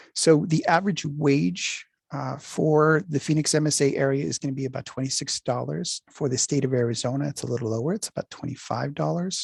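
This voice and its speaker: In a dry, close sound with no echo, a man talks at a fairly quick pace in a somewhat breathy, fairly high voice with ordinary pitch variation. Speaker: workforce development presenter. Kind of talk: presentation. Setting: video call.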